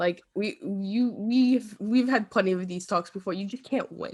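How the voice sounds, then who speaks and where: This woman's voice is at a medium pitch. Her tone is animated. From New York. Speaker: podcast host. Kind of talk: casual chat.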